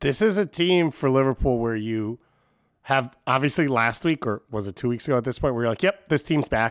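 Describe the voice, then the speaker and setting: A man with an American accent at a moderate pace, the sound dry and close with no echo, on a very clean recording with a silent background. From Long Island, New York. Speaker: soccer podcast guest panelist. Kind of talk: casual banter about soccer.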